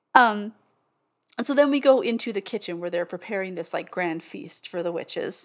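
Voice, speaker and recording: On a very clean recording with a silent background, a woman with an unremarkable speaking voice talks at a moderate pace and medium pitch with lively intonation. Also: big swings in loudness. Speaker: podcast co-host. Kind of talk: casual chat. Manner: casual, filler-heavy, chatty.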